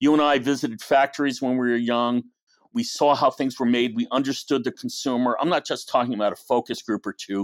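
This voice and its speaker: A man speaks at a fairly quick pace and medium pitch with fairly even intonation. It is an ordinary speaking voice on a very clean recording with a silent background. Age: 60s. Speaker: advertising agency founder. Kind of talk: podcast interview.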